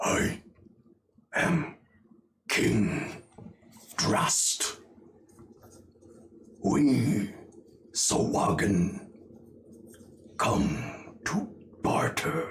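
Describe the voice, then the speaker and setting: Putting on a raspy character voice at a medium pitch, a man talks at a very slow pace with long, frequent pauses. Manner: imposing, formal.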